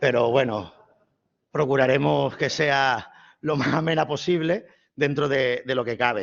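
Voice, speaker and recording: A man with an Andalusian accent speaks with ordinary pitch variation. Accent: southern Spanish (Andalusian). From southern Spain, Málaga (Andalusia). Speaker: priest and theology professor. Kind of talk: lecture.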